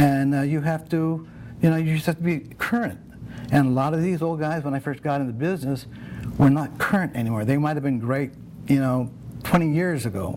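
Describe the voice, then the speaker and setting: An unremarkable speaking voice from a man, fairly high-pitched, fairly quick, with ordinary pitch variation. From South Central Los Angeles, Nicaraguan family. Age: 60s. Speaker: makeup artist. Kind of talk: interview. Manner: casual, many fillers and repetitions.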